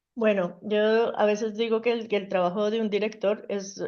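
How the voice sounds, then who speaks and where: Against a quiet background, a woman speaks with a Colombian accent. Her intonation is monotone and flat. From Colombia, Bogotá. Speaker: mechanical engineer, plant director. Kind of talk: interview. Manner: hesitant fillers.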